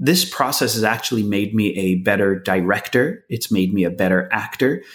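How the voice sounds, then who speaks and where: Using an ordinary speaking voice, this man talks at a moderate pace with fairly low pitch and ordinary pitch variation. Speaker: actor and filmmaker. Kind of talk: casual interview. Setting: video call.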